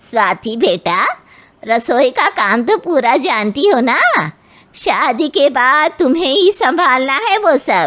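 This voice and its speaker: In a cartoonish character voice, a woman speaks at a high pitch with very wide pitch swings. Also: fairly slow pace, very even loudness. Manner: bossy, condescending.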